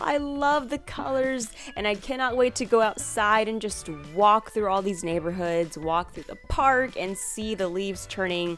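A woman talks at a moderate pace. Behind her, music is playing. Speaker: narrator of craft channel. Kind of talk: tutorial voice-over narration.

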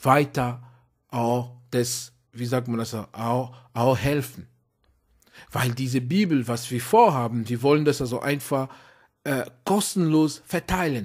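In a very clean recording with a silent background, a man with a non-native accent speaks very slowly at a medium pitch with ordinary pitch variation and long, frequent pauses. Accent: foreign accent in German. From outside Germany, immigrant. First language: not German (speaking German). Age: adult. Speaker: preacher. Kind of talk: sermon. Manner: halting, many fillers.

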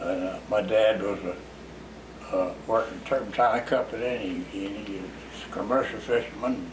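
Noticeable background noise is present. The talking unfolds at a fairly slow pace. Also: man. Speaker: interviewee. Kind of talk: interview answer. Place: home room.

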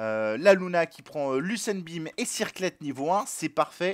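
A man with a high pitch speaks in a dry, close sound with no echo. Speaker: gaming commentator. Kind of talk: live game commentary, casual and joking. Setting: stream / recorded gameplay commentary. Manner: joking, ironic, casual.

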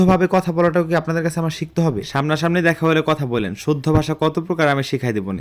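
Here a man talks in a central Bangladeshi accent. His pitch is fairly high, with ordinary variation. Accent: Munshiganj regional dialect. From Bangladesh, Munshiganj. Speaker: vlogger. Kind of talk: casual vlog narration. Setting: rural home, outdoors by the stove.

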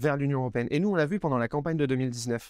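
Against a quiet background, a man talks very fast with ordinary pitch variation, the sound dry with no echo. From France, Grenoble. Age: 20s. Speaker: political activist, parliamentary assistant. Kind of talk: personal testimony interview. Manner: hesitant, with fillers and repetitions. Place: garden. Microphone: lapel.

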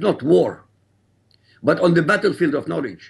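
A man's fairly high voice with vocal fry and lively intonation, at a moderate pace against a quiet background. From Iraq. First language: Arabic. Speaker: author and critic of Islam. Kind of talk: interview. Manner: formal. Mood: firm, assertive. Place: studio. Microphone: lapel.

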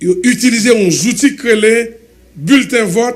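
Pitched high, a man talks. He speaks with a Haitian accent. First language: Haitian Creole (speaking French). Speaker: government supporter; guest. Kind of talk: heated debate. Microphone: studio mic.

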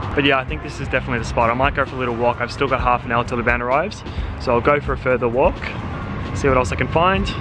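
Music plays in the background while a man talks at a very fast pace. The sound is dry, with no echo. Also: ordinary pitch variation. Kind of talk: casual vlog chat. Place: street. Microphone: phone near.

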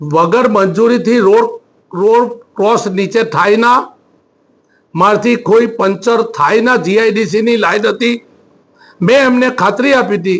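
A man with a high pitch speaks with very even loudness and ordinary pitch variation. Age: 60s. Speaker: politician. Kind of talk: news interview. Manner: halting.

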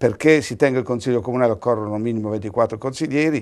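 A man talking at a very fast pace, ordinary pitch variation, quiet background. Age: 60s. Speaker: lawyer and opposition city councillor; lawyer, opposition city councillor. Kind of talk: political talk show debate. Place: studio. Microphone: lapel.

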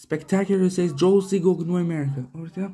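In a high pitch, a man speaks with a dark, mellow tone.

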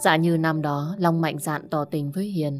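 A woman with a fairly low voice speaks at a fairly slow pace over faint background music. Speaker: audiobook narrator. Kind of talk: audiobook story narration. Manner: expressive. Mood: warm, low, expressive. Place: home room. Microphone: studio mic.

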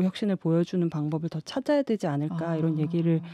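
A woman's dark, mellow tone at a very fast pace, dry sound with no echo, and a quiet background. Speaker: political journalist. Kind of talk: panel discussion. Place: studio. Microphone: studio mic.

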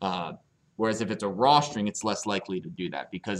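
This man has an ordinary speaking voice, fairly low in pitch, with ordinary pitch variation. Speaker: programming teacher. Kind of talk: lecture.

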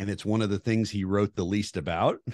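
With an American accent, a man speaks in a fairly low pitch against a quiet background, the sound dry with no echo. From Oklahoma. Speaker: police officer and firearms instructor; firearms instructor. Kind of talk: interview. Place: home room. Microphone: studio mic.

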